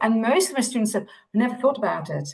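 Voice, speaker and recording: Somewhat breathy, a woman speaks with a Dutch accent. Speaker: optometry lecturer. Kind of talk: panel discussion.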